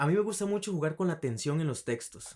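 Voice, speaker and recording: Words come very quickly from this male speaker. He varies his pitch in a normal way. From Costa Rica, Alajuela. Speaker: writer. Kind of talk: casual interview. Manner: fast; energetic.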